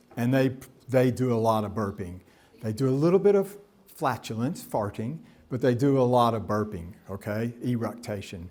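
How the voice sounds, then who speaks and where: Lively in intonation, a man with a medium pitch speaks at a moderate pace. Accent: Tennessee. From US South, Nashville, Tennessee. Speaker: professor. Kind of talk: lecture. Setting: stage with audience. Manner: animated, waves arms.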